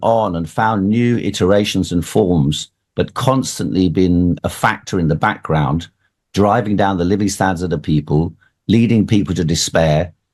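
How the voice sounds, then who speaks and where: In an ordinary speaking voice, a man talks at a moderate pace with a fairly low pitch and ordinary pitch variation. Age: 60s. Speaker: political candidate. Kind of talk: radio interview.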